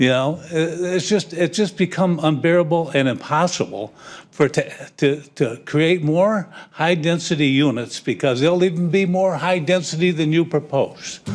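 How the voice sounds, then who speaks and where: At a moderate pace, a high-pitched man speaks with ordinary pitch variation and very even loudness. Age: 80s+. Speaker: property owner giving public comment. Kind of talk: public comment at council meeting. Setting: city council chamber. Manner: halting, repetitive.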